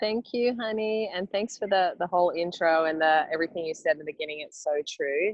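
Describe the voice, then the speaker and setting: Her pitch varies in an ordinary way as the woman speaks in an Australian accent. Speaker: massage therapist and yoga instructor. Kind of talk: personal story on a call. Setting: outdoors at a bay, video call.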